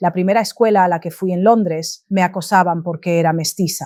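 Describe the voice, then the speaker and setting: In a very clean recording with a silent background and a dry, close sound with no echo, a woman with a fairly low pitch and a dark, mellow tone talks at a fairly quick pace in monotone, flat intonation. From London, then Essex, England. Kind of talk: testimony.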